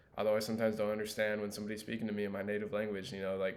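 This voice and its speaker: A fairly low-pitched man's voice with an American accent and audible room echo. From Los Angeles, US. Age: 20s. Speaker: student. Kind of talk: class presentation monologue. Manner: casual with fillers.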